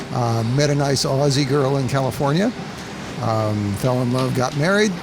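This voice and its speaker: A man's medium-pitched voice with an American accent, at a moderate pace with ordinary pitch variation and very even loudness, plus audible room echo and noticeable background noise. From Colorado, US. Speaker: seaplane operator and pilot. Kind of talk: interview. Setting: outdoors by a road.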